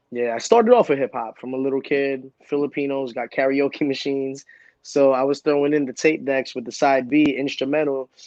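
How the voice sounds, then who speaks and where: A man's fairly high voice at a fairly quick clip. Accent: Brooklyn. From Brooklyn, New York, US. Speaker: entertainer and comic book creator. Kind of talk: casual chat. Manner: animated.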